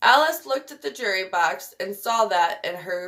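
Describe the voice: A plain read-aloud delivery carries lively intonation.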